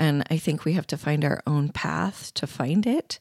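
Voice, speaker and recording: Very deep and low in pitch with vocal fry, a woman speaks in a very clean recording with a silent background and a dry, close sound with no echo. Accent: American. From US Pacific Northwest (Eugene, Oregon). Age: 50s. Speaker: storyteller. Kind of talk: interview. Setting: recording at night in a cold basement.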